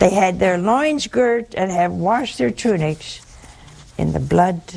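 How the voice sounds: Speech comes at a slow pace with lively intonation, vocal fry and a slightly mellow tone. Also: woman.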